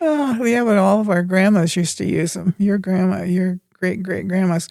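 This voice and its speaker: At a moderate pace, a woman speaks at a medium pitch in a dark, mellow tone. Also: ordinary pitch variation, very clean recording, silent background. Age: 90s. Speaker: grandmother and gardener. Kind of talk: casual chat.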